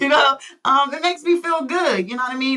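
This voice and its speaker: Someone with an American accent talks at a fairly quick pace with ordinary pitch variation, amid noticeable background noise. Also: woman. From Philadelphia. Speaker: comedian. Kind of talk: casual chat.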